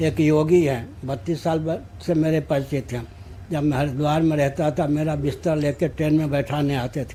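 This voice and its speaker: Somewhat breathy and dark, mellow in tone, a man speaks at a fairly high pitch with fairly even intonation. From Bihar, India. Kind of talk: interview answer.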